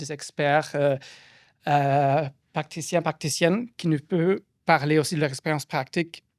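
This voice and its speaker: A fairly high-pitched man with fairly even intonation at a moderate pace, on a very clean recording with a silent background and a dry, close sound with no echo. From Germany. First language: German (speaking French). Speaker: postdoctoral researcher and panel moderator. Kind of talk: event moderation introduction. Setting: public event with audience in a room. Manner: halting, many hesitations.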